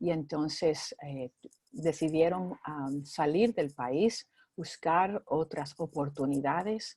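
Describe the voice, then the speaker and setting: A woman speaks very slowly in a very deep, low pitch. The sound is dry and close, with no echo. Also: ordinary pitch variation. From Cuba, Spain, then California. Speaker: minister. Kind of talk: interview. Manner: halting.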